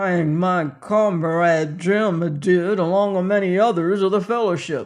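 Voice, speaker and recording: A growling, put-on character voice sits at a middle pitch. It moves at a fairly slow pace with hardly any pauses. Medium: read story.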